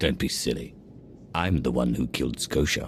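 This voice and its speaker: Very deep, low male character voice, put on, against clear background noise. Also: moderate pace. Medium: video game.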